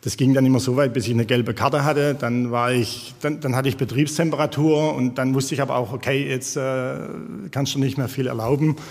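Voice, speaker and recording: At a fairly quick pace, a man with an unremarkable speaking voice talks in a medium pitch with fairly even intonation. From Jagst valley, northern Baden-Württemberg. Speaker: former footballer. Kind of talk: casual chat.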